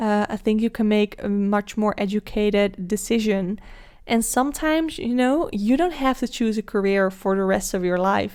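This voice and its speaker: In a Dutch accent, a woman speaks at a moderate pace with a fairly high pitch, ordinary pitch variation and very even loudness. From Netherlands. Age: 20s. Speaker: podcast host. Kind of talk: solo podcast monologue. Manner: casual, with filler words.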